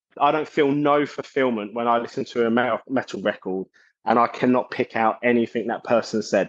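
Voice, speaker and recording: In a South London accent, a man talks at a fairly quick pace. His intonation stays fairly even over a quiet background. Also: dry, close sound with no echo. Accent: twangy South London. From South London, England. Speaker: metal singer and bassist. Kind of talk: casual interview chat.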